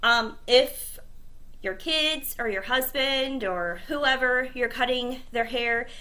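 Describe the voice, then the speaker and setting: A woman speaks very slowly in a high voice with a bright, sharp tone. Her pitch varies in an ordinary way, and room echo is audible. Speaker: cosmetology teacher. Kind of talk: tutorial.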